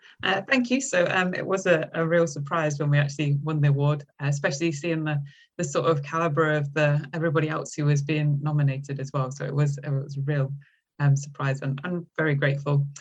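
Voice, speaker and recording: A woman speaks at a fairly quick pace with a very deep, low pitch. Her voice is somewhat breathy, with monotone, flat intonation. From English Midlands, between Derby and Nottingham. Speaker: university lecturer. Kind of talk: podcast interview. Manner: hesitant, many fillers.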